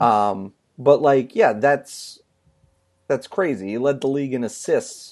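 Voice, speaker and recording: This man has a normal speaking voice at a medium pitch. He talks at a fairly slow pace. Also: lively intonation. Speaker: sports writer podcast co-host. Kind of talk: casual chat.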